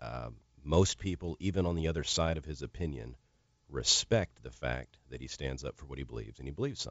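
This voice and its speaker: Talking at a very fast pace, a man with a very deep, low pitch and vocal fry shows ordinary pitch variation and big swings in loudness. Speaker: radio producer. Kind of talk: casual chat. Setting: studio.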